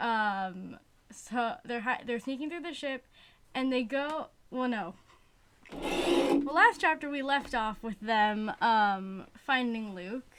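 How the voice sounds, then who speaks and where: A woman talks at a very slow pace, high in pitch with lively intonation. Noticeable background noise can be heard. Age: young. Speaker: book-reading video host. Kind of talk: casual chat recapping a book. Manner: halting, many fillers and restarts.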